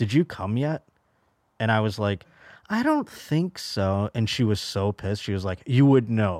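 Recorded very cleanly with a silent background, a man with an American accent has an unremarkable speaking voice, fairly low in pitch, at a moderate pace. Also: dry, close sound with no echo. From Buffalo, New York. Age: 30s. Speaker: stand-up comedian. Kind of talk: casual chat.

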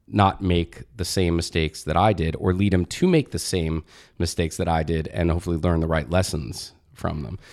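A man with an American accent speaks at a fairly quick pace in a very deep, low pitch with vocal fry and ordinary pitch variation, on a very clean recording with a silent background. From New Jersey. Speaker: advertising agency founder. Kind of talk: interview.

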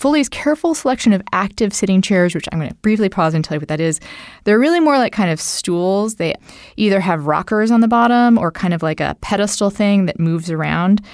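In a very clean recording with a silent background, a woman talks at a fairly quick pace and medium pitch with lively intonation. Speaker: podcast host. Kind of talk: casual conversational interview, with some ad reading. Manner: animated, joking.

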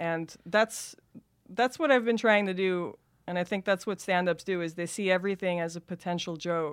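The speaker talks at a moderate pace with an American accent and ordinary pitch variation, in a very clean recording with a silent background. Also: woman, medium pitch for a woman. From Los Angeles, Van Nuys. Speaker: comedian and actress. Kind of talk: casual chat.

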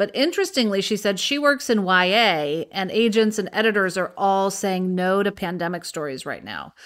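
A woman with a plain, everyday voice, at medium pitch, a moderate pace and ordinary pitch variation, on a very clean recording with a silent background. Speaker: podcast co-host and TV writer. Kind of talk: casual chat.

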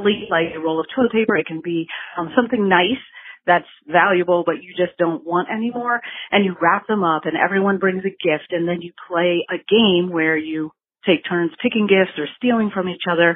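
A woman with a fairly low pitch and an unremarkable speaking voice talks at a moderate pace with ordinary pitch variation. Her loudness swings widely. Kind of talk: voicemail message. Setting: phone voicemail. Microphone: call hit a dead zone, partly lost.

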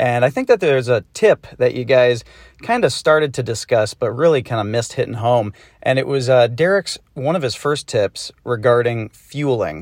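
A man with an American accent talks at a medium pitch and a moderate pace, with ordinary pitch variation. It is an ordinary speaking voice, with a dry, close sound and no echo. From US Northeast, Massachusetts. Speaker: listener. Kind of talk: recorded voice message.

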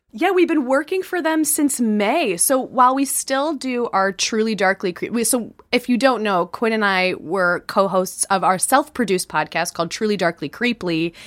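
A woman with an American accent talks at a moderate pace with hardly any pauses, her fairly high pitch making very wide swings. The recording is very clean, with a silent background. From Chicago, US Midwest. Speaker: podcast host and comedian. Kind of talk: casual chat.

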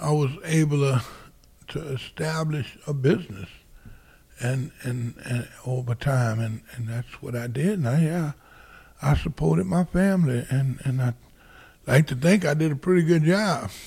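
Speaking at a fairly slow pace, a man uses a somewhat breathy, dark, mellow voice of fairly high pitch with lively intonation. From south Louisiana, Plaquemines Parish. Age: 60s. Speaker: oysterman. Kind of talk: interview. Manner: halting, many fillers.

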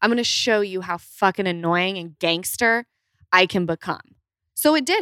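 In an American accent, a woman speaks at a moderate pace with a medium pitch, a bright, sharp tone and ordinary pitch variation. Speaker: guest. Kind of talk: casual chat.

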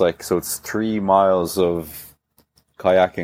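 A man with a Dublin accent speaks in a very deep, low pitch with monotone, flat intonation. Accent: mild Dublin Irish. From Ireland, Dublin. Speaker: CrossFit athlete. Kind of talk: casual interview. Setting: video call from hotel room.

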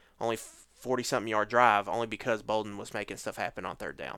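On a very clean recording with a silent background, a man talks in a monotone, flat intonation at a medium pitch. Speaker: football podcast host. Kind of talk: casual chat.

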